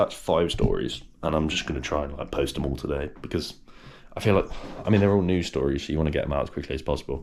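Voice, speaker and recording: This British-accented man talks with a vocal fry. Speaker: vlogger. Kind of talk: casual vlog talk to camera. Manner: animated; stuttering at times.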